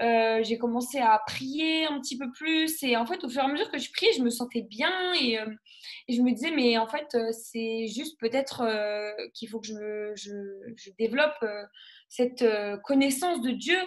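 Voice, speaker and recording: In a high pitch, a woman speaks at a fairly slow pace with ordinary pitch variation and big swings in loudness. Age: 20s. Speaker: nurse and gospel singer giving testimony. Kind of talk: testimony. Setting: live broadcast. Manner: halting, many fillers.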